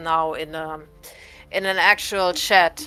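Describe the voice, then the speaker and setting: A woman with a non-native accent and a bright, sharp tone, with fairly even intonation, on a very clean recording with a silent background. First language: not English. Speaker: livestream co-host. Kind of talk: casual chat.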